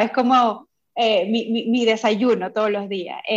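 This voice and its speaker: In an unremarkable speaking voice, a woman talks fairly slowly at a fairly high pitch, with fairly even intonation. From Venezuela. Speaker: coaching course student. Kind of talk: interview testimony.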